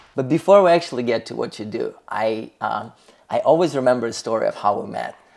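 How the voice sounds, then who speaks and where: In a non-native accent, the speaker talks at a very fast pace with big swings in loudness. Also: man. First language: not English. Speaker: podcast host. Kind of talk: casual interview. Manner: animated.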